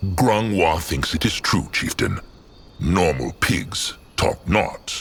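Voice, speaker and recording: A man puts on a character voice, pitched very deep and low, and speaks at a very slow pace. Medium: video game. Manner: broken grammar, third person.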